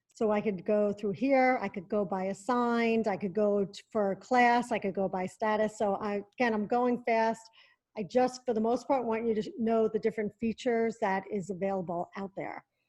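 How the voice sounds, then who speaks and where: A woman speaks in a plain, everyday voice, fairly high in pitch, at a moderate pace. Her intonation is fairly even, with hardly any pauses, and the background is quiet. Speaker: tech education specialist. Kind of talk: tutorial.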